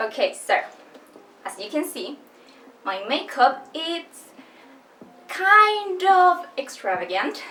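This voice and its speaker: A woman with a non-native accent projects a raised voice at an extremely high pitch, swinging very widely. She speaks very slowly with long, frequent pauses over noticeable background noise. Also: big swings in loudness. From Chile. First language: Spanish. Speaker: book youtuber. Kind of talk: casual vlog talk. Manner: slow, careful.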